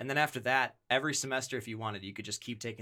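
A man with an American accent, very fast, with a bright, sharp tone, fairly even intonation and a very clean recording over a silent background. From Wisconsin. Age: 30s. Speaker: audio engineer, church partner. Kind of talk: casual chat. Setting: studio.

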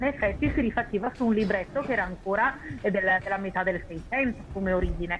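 A woman's medium-pitched voice, very fast, with ordinary pitch variation and very even loudness. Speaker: opera writer and critic. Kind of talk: interview about opera history.

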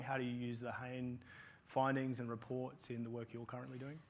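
An Australian accent at a moderate pace. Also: man. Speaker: panel moderator. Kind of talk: panel discussion. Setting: stage with audience.

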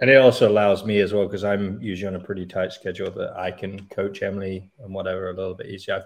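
Speaking very fast with hardly any pauses, a man with a Canadian accent uses a fairly low pitch and fairly even intonation, his loudness swinging widely against a quiet background. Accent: English with Canadian twang. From England. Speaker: CrossFit coach. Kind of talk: casual chat. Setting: video call.

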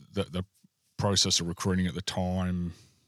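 Recorded very cleanly against a silent background, with a dry, close sound and no echo, a man with an Australian accent talks at a fairly quick pace in a very deep, low pitch. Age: 40s. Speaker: army and air force veteran, publican. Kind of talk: casual interview chat.

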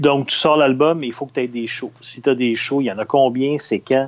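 A man talks at a moderate pace in a medium pitch, with an unremarkable speaking voice. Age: 50s. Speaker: music publicist. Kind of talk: interview.

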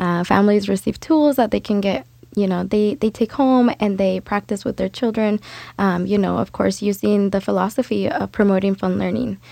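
Using a plain, everyday voice at a medium pitch, a woman talks at a moderate pace with ordinary pitch variation. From Mexico, raised in US from first grade. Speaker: community parent advocate. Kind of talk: interview. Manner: frequent laughter.

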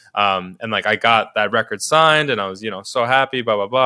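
In a very clean recording with a silent background, a man talks at a very fast pace. His medium-pitched voice has a bright, sharp tone and ordinary pitch variation. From New York City, Manhattan. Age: 20s. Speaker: DJ and music producer. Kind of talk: casual interview chat. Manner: casual, many fillers.

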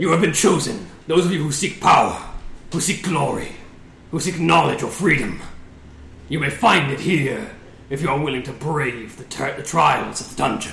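In a booming, put-on character voice at a fairly high pitch, a man speaks at a moderate pace with long, frequent pauses and a slight echo. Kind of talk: commanding, grand.

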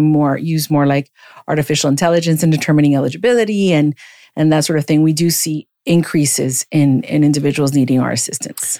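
In an American accent, a woman with a very deep, low pitch and a dark, mellow tone speaks at a fairly quick pace with fairly even intonation. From Miami, Florida. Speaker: legal aid director. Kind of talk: podcast interview.

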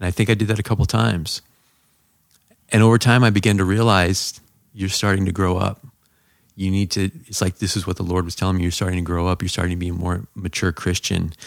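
A man with an American accent speaks at a very fast pace. His very deep, low pitch holds fairly even intonation. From Southern California. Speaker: pastor. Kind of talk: testimony.

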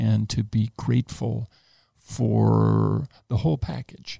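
A man with an American accent speaks at a fairly low pitch in a dark, mellow tone, the sound dry and close with no echo. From Los Angeles area, US. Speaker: retired physician with terminal cancer. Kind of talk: interview.

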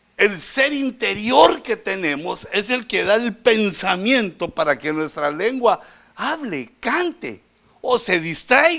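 Speaking at a very slow pace, a man with a high pitch and a bright, sharp tone uses a raised, projected voice with very wide pitch swings, recorded very cleanly against a silent background. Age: middle-aged. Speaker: pastor. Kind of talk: sermon.

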